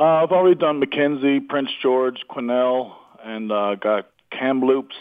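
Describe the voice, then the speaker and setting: A man talks at a moderate pace with ordinary pitch variation. He has a slight Newfoundland accent. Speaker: comedian. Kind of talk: casual chat. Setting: phone call.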